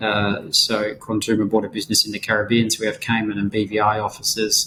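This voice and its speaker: Speaking in an Australian accent, a man uses a fairly low pitch and a fairly quick pace. His tone is bright and sharp, his intonation monotone and flat. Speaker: insolvency and restructuring advisor. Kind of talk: podcast interview.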